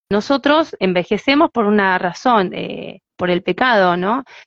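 A woman with a Rioplatense accent speaks at a medium pitch and a fairly slow pace. The sound is dry and close with no echo, over a quiet background. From Argentina, Buenos Aires. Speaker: singer and evangelist. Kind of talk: interview.

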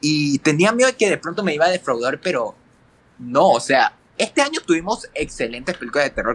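With a plain, everyday voice, a man speaks at a fairly quick pace with fairly high pitch and lively intonation, in a dry, close sound with no echo. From Ecuador. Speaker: film critic. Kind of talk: casual chat.

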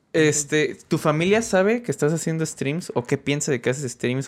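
A very fast-talking man with lively intonation, on a very clean recording with a silent background. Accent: Mexican. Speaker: podcast host. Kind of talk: casual chat.

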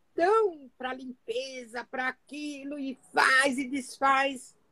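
In a raised, projected voice with a bright, sharp tone, a woman speaks at a high pitch with lively intonation, the sound dry and close with no echo. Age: 60s. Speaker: Bible study speaker. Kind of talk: Bible reflection. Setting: Instagram live from home office.

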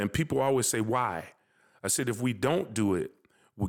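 A man with an unremarkable speaking voice and an American accent, medium in pitch with ordinary variation, at a moderate pace, in a very clean recording with a silent background. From US Midwest, North Minneapolis. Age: 60s. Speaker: high school basketball coach. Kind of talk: casual interview.

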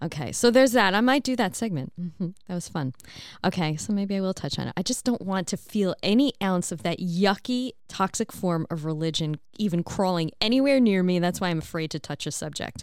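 Energetic in tone, a woman with an American accent talks at a fairly quick pace. Her medium-pitched voice has lively intonation. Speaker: podcast host. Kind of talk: casual monologue. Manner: laughs often.

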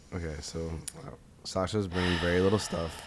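A man's very deep, low voice with an American accent, fairly even intonation and a moderate pace, with audible room echo. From US East Coast. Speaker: podcast co-host. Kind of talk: casual chat.

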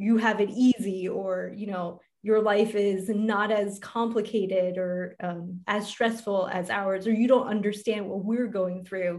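In a normal speaking voice, a woman talks at a medium pitch and a fairly slow pace with fairly even intonation. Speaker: podcast host and life coach. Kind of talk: casual interview chat.

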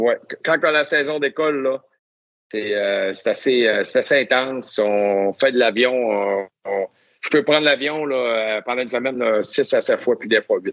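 Long pauses come often in this rather slow speech. The rise and fall of pitch is normal. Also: man, medium pitch for a man. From Quebec, Lac-Saint-Jean (Albanel). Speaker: NHL hockey referee. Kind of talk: interview storytelling.

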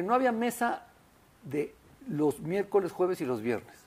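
With a fairly slow pace and lively intonation, a man delivers his words. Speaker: restaurateur and food critic. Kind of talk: interview. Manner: hesitant with many fillers.

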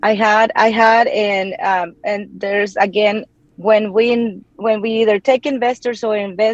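Speaking at a fairly slow pace, a woman with a Mexican accent has a fairly high pitch, and the sound is dry and close with no echo. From Mexico. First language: Spanish. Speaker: real estate investor and anesthesia provider. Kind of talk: interview. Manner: hesitant with frequent fillers.

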